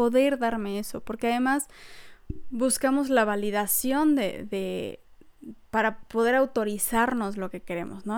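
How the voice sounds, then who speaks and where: A woman talks at a high pitch. Her intonation stays fairly even. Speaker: podcast host. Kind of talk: solo podcast talk. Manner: laughs often while talking.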